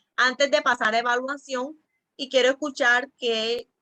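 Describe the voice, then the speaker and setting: A woman's high-pitched, raised and projected voice has a bright, sharp tone and flat, monotone intonation, recorded dry and close with no echo. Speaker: church teacher trainer. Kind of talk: online training class. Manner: fast.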